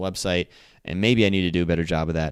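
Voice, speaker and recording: Recorded very cleanly over a silent background, a man speaks in a very deep, low voice. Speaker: marketing podcast host. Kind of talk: solo podcast monologue. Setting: recording standing at computer mic. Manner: casual with many fillers.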